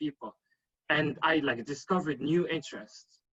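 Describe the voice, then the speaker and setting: Speaking at a fairly quick pace, a man talks in a French accent. The sound is dry and close, with no echo. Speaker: panelist on networking. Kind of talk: panel discussion. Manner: halting, many fillers.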